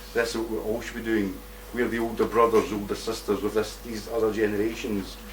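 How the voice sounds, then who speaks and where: A man talks fairly quickly with a Scottish accent. Noticeable background noise and audible room echo are present. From Scotland. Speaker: activist speaker. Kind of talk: conference talk. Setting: stage with audience. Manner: animated.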